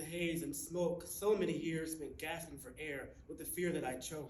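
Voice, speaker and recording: A man's high-pitched voice at a moderate pace. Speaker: poet, teacher-educator. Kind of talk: spoken word poetry performance.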